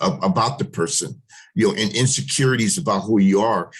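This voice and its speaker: A man with an American accent and vocal fry, at a moderate pace. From US Pacific Northwest, Seattle Central area. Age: 60s. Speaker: panelist, school alumnus. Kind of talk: panel discussion. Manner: halting, many fillers.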